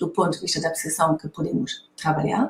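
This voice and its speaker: In a German accent, a woman speaks in a somewhat breathy voice. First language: German (speaking Portuguese). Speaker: author and lecturer on creativity. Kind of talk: conference talk. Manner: hesitant, many fillers.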